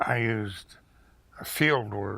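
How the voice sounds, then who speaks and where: A man with an American accent speaks at a fairly low pitch. His tone is bright and sharp, and his intonation is fairly even. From Pennsylvania. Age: 80s+. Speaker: retired museum director and archaeologist. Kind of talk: oral history interview. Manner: halting, many fillers.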